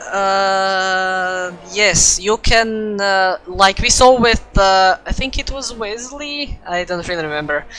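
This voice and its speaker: The speech moves at a very slow pace with a non-native accent and hardly any pauses. Music plays in the background. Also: woman, medium pitch for a woman, ordinary pitch variation. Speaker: sim racing commentator. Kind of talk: live commentary. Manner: halting, many fillers.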